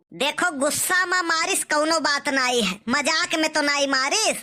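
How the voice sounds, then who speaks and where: A woman uses a cartoonish character voice with high pitch. She speaks at a fairly slow pace with very even loudness. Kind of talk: rustic Awadhi comic dialogue.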